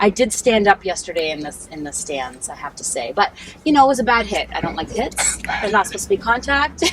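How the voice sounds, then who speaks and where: A woman talks at a very fast pace at medium pitch, with very wide pitch swings and big swings in loudness. Noticeable background noise runs beneath her. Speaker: non-profit fundraising manager. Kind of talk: interview. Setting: coffee shop.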